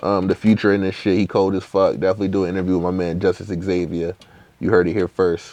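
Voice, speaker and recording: A man talks at a very fast pace. His very deep, low pitch stays monotone and flat. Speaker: rapper. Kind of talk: interview. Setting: in LA. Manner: casual.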